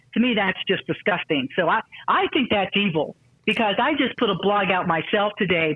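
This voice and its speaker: A woman speaks in an unremarkable speaking voice at a medium pitch, with an American accent. Her intonation is lively. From US South. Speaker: martial arts master and inspirational speaker. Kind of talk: interview.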